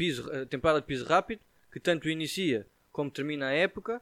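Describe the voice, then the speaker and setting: A fairly high-pitched man with a European Portuguese accent and lively intonation, in a very clean recording with a silent background and a dry, close sound with no echo. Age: 20s. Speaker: tennis coach. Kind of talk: casual chat.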